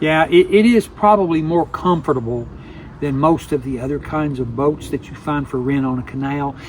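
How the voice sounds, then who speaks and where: Fairly high male voice at a moderate pace with ordinary pitch variation, over noticeable background noise. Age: 70s. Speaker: travel vlogger. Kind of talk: casual chat.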